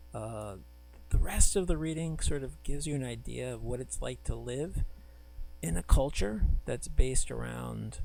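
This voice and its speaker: This soft-spoken voice moves at a moderate pace. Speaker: professor. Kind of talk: lecture. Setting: recorded video lecture with screen. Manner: halting.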